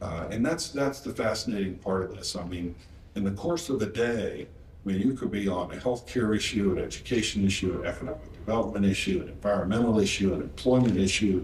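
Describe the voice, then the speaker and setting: With an American accent, a man talks at a very fast pace in a somewhat breathy, fairly low voice with ordinary pitch variation, and audible room echo fills the room. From West Virginia. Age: 60s. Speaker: state senator. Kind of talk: panel interview.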